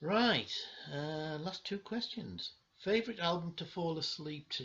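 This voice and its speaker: Speaking in a Cumbrian accent, a man with a high pitch talks at a fairly slow pace with ordinary pitch variation. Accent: northern English (Cumbrian). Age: 60s. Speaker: vinyl collector vlogger. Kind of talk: casual video monologue. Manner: halting, many fillers.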